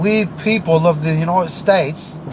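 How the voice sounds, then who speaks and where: Over noticeable background noise, a man with a fairly high pitch sounds animated, speaking fairly slowly with ordinary pitch variation. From Maryland, US. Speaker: internet radio host. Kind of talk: political rant monologue.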